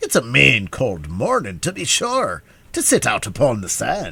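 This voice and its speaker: A put-on character voice at a moderate pace. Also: man. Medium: read story. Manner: cheery, wheedling, sly.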